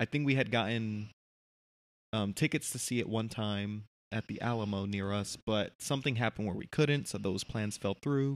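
In an ordinary speaking voice, a man with an American accent talks at a moderate pace, his fairly low pitch showing ordinary variation, on a very clean recording with a silent background and a dry, close sound with no echo. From United States. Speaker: podcast co-host, film reviewer. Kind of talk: casual chat.

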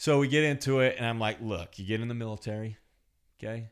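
This is a man with a Californian accent. His pitch sits in the medium range. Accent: Californian American English. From US West Coast, California Central Coast. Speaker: podcast guest, host's childhood friend. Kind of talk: casual chat.

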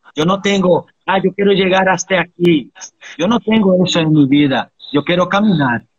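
Keeping his loudness very even, a man talks at a moderate pace in a high pitch with ordinary pitch variation. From Brazil, Bahia (island near Salvador). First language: Portuguese (speaking Spanish). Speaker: capoeira master. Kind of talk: interview.

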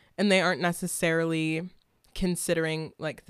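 A woman speaks in a normal speaking voice at a fairly low pitch. The recording is very clean, with a silent background. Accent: American. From Washington State, US Pacific Northwest. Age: 20s. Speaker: activist and protest organizer. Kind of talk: casual chat.

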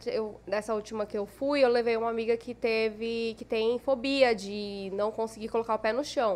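In a normal speaking voice, a woman talks at a fairly high pitch and a moderate pace with fairly even intonation. She leaves hardly any pauses. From Cuiabá, Mato Grosso, Brazil. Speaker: makeup artist and influencer. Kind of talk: casual chat.

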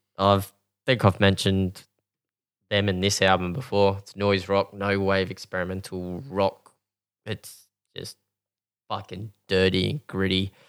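A man with an Australian accent speaks in a fairly low, flat monotone, recorded very cleanly against a silent background with a dry, close sound and no echo. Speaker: podcast host. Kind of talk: casual chat.

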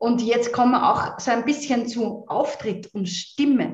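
A somewhat breathy voice in an Austrian accent, very slow, with ordinary pitch variation. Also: woman. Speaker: voice coach and singer. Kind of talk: interview conversation. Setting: video call.

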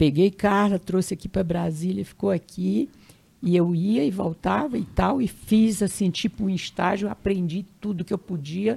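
A woman's medium-pitched, somewhat breathy voice moves at a moderate pace with ordinary pitch variation. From Brazil, Piauí (Northeast). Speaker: retired teacher and educator. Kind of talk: interview testimony. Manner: halting.

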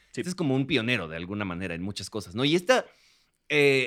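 A man talks very fast with very wide pitch swings. Vocal fry runs through his voice. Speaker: film podcast co-host. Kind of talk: casual chat.

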